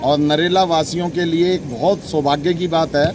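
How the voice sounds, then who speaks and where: Noticeable background noise sits behind a man whose pitch is fairly high and whose intonation is fairly even. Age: 60s. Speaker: devotee interviewed at religious event. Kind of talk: vox pop interview.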